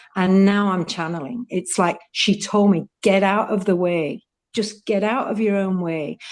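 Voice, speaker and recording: Speaking at a fairly slow pace with a normal speaking voice, a woman keeps a medium pitch and fairly even intonation over a quiet background. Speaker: session participant, women's circle leader. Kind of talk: testimony in a group video call. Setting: video call.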